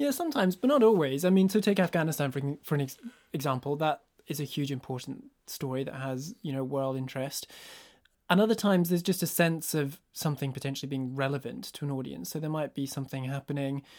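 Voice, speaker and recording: Very fast speech comes from a man with a Scottish accent and a fairly high pitch, showing ordinary pitch variation. The recording is very clean, with a silent background. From northeast Scotland. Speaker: news presenter. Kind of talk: casual chat. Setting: studio.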